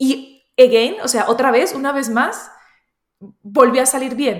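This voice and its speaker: A woman speaks in a high voice. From Colombia and Spain. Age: 30s. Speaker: entrepreneur and youtuber. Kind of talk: interview.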